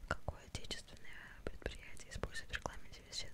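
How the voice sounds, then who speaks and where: The voice is whispering. The pace is moderate. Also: woman. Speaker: ASMR creator. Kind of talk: ASMR quiz chat to camera. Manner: whispered. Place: home room. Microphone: studio mic.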